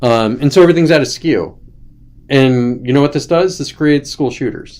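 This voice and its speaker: Speaking with an American accent, the man has a fairly high pitch with ordinary variation. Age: 40s. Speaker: livestream host. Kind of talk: casual livestream rant. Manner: animated; fast.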